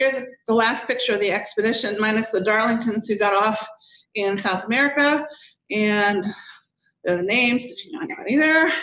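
A woman's bright, sharp voice, fairly high in pitch with ordinary variation, at a fairly quick pace broken by long, frequent pauses, with audible room echo. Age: 60s. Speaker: daughter of a polar explorer, speaker. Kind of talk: lecture. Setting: stage with audience.

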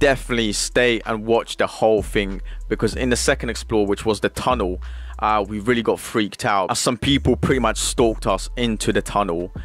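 A man talks at a fairly quick pace, with a dry sound and no echo. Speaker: exploration vlogger. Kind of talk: casual vlog intro. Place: home room. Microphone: studio mic.

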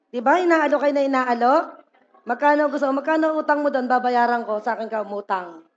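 The delivery has an animated tone and a fairly quick pace. Pitch variation is ordinary. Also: woman, high pitch for a woman. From Philippines. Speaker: pastor. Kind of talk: sermon. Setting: church service with congregation. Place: church.

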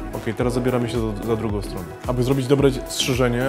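Against clear music in the background, a man speaks at a very fast pace with fairly even intonation. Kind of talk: tutorial. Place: shop.

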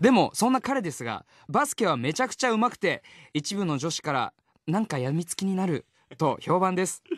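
A man with an unremarkable speaking voice, lively intonation and a fairly quick pace over a quiet background. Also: dry sound with no echo. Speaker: voice actor, radio personality. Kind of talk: reading a listener's letter aloud on radio. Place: studio.

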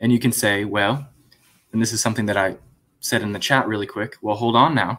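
A man's medium-pitched voice at a fairly quick pace, with fairly even intonation against a quiet background. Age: 20s. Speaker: former Jehovah's Witness, YouTube apologist; Witness. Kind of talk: live stream panel discussion. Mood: earnest, argumentative. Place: home room.

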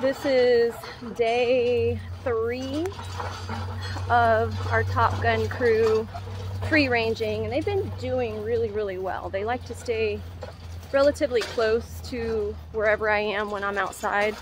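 A woman talks at a very slow pace with long, frequent pauses, her dry voice carrying no echo over music in the background. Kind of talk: casual vlog chat. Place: farm. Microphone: phone near.

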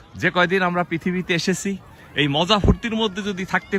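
A man speaks over noticeable background noise. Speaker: vlogger. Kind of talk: walking vlog narration. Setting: outdoors. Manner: halting.

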